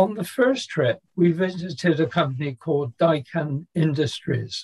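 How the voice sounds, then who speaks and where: Someone with a British accent talks at a fairly slow pace. Pitch varies in an ordinary way over a quiet background. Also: man. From England. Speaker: maintenance consultant and author. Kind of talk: interview. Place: home room. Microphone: webcam.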